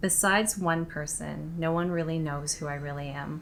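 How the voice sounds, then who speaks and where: Soft-spoken and very deep in pitch, a woman talks at a fairly slow pace with fairly even intonation in audible room echo. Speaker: vlogger. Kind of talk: personal confessional vlog.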